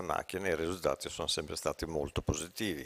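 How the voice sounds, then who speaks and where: A man with a very deep, low pitch, talking very fast in a flat monotone. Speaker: radiologist, professor. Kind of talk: lecture. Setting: conference.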